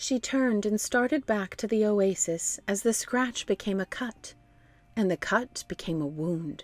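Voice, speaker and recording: A woman's fairly high voice, a normal speaking voice, with ordinary pitch variation. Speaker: voice actor. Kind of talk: children's book read-aloud.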